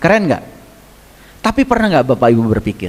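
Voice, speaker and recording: A man in a West Javanese accent, with very wide pitch swings. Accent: Sundanese (Garut) Indonesian. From Garut, West Java, Indonesia. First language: Sundanese (speaking Indonesian). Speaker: religious teacher. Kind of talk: religious lecture. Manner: conversational, with frequent hmm fillers.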